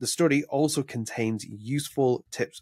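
A man with a British accent and ordinary pitch variation, in a dry, close sound with no echo. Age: 30s. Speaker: podcast host. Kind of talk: casual chat.

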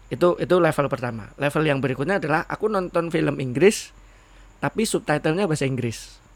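Fairly high in pitch, a man speaks at a very fast pace. His pitch variation is ordinary. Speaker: podcast co-host. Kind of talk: casual chat.

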